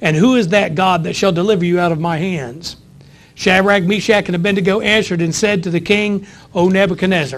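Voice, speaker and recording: A man's voice sits high for a man, moving fairly quickly with ordinary pitch variation. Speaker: pastor. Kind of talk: sermon. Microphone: lapel.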